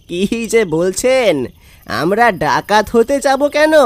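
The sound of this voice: A cartoonish character voice comes through at a fairly high pitch and a fairly slow pace.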